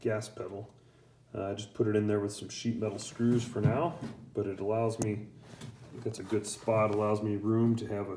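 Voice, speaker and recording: Over noticeable background noise, a man talks at a fairly quick pace. His pitch is fairly low and his intonation fairly even. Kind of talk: casual tutorial commentary. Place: garage. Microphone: phone near.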